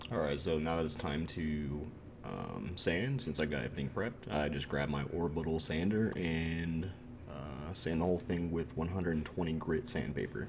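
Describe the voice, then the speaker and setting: A man speaks with a very deep, low pitch and ordinary pitch variation. Room echo is audible. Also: moderate pace. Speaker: furniture flipping YouTuber. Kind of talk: tutorial voiceover. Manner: casual with many fillers.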